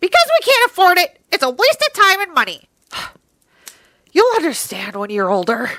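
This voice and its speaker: Putting on a character voice, a woman speaks at an extremely high pitch with very wide pitch swings. Her pace is moderate with long, frequent pauses, and the sound is dry and close with no echo. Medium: audio drama. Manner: cold, stern.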